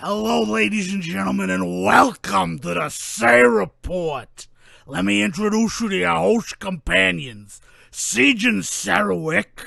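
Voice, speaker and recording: A man in a gruff put-on character voice speaks at a medium pitch and a fairly slow pace. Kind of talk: announcing.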